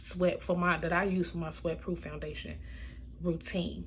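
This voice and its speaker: Woman's voice with audible room echo. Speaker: beauty vlogger. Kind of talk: makeup tutorial voiceover. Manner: casual, with many fillers.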